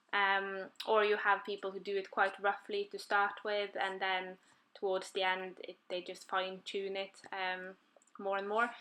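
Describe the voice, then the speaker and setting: Speaking at a fairly slow pace with a non-native accent, a woman has a bright, sharp tone against a quiet background. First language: not English. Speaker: colouring YouTuber. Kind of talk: tutorial. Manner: halting, many fillers.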